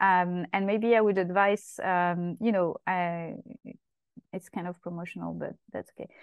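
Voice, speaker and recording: A woman with a French accent talks at a fairly slow pace and medium pitch. Her intonation is monotone and flat, while her loudness swings a lot. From France, Paris southern suburbs (Essonne). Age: 30s. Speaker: activist and campaigner. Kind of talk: interview.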